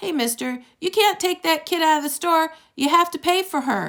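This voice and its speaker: A woman uses a put-on character voice, squeaky and extremely high-pitched, with ordinary pitch variation. She keeps a moderate pace on a very clean recording with a silent background. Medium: read story. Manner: blunt, insistent.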